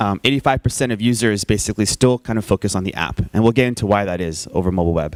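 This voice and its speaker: Dry, close sound with no echo carries a man speaking very fast at a fairly low pitch. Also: ordinary pitch variation. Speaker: tech entrepreneur and conference speaker. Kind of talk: conference talk with slides. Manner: casual, many filler words.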